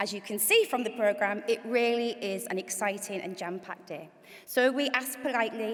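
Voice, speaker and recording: Speaking at a fairly quick pace, a woman with a Hull accent uses a fairly high pitch and ordinary pitch variation. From northern England, Hull. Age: 40s. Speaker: event MC and charity CEO. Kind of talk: event hosting speech with personal testimony. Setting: stage with audience in auditorium.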